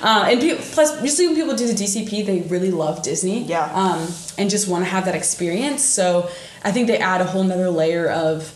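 Talking at a fairly quick pace, a woman is heard with audible room echo and noticeable background noise. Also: medium pitch for a woman, lively intonation. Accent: Midwestern US. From northern Indiana. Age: 20s. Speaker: podcast co-host. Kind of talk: casual chat.

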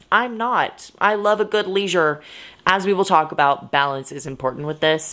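In a very clean recording with a silent background, a woman with an unremarkable speaking voice talks at a moderate pace, fairly low in pitch with lively intonation. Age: 20s. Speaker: solo podcast host. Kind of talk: solo podcast monologue. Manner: casual, filler-heavy.

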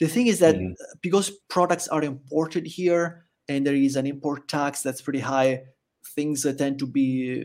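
A man with an Italian accent speaks at a fairly quick pace and fairly high pitch, with ordinary pitch variation. The recording is very clean, with a silent background. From Italy. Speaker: expat living in El Salvador. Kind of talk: casual interview chat.

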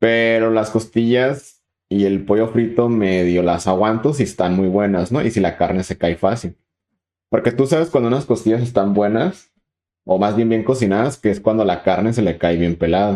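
A man with a Mexican accent speaks at a fairly low pitch in a dark, mellow tone, with ordinary pitch variation and very even loudness against a quiet background. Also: moderate pace. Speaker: podcast co-host. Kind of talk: casual chat.

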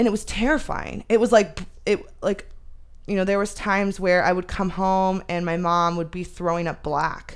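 At a moderate pace, a woman with an American accent talks in an ordinary speaking voice, medium in pitch with ordinary pitch variation. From Arizona. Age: 30s. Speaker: podcast guest. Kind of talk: casual chat.

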